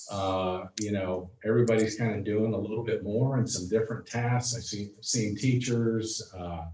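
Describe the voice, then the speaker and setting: Speech comes at a moderate pace with hardly any pauses and fairly even intonation, set against noticeable background noise. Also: man, fairly low pitch for a man. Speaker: school superintendent. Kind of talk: board meeting report. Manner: loud; halting, many fillers.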